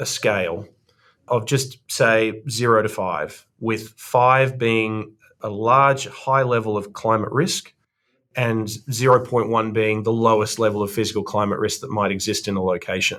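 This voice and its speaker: A man with an Australian accent at a medium pitch and fairly slow pace, on a very clean recording with a silent background. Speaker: investment firm co-founder. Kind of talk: podcast interview.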